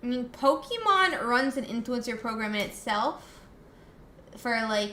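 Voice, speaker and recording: In an American accent, a woman with a high pitch talks at a fairly slow pace with ordinary pitch variation, amid noticeable background noise and audible room echo. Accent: slight US Southern, comes out at times. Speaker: streamer. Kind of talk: live stream chat. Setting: live stream.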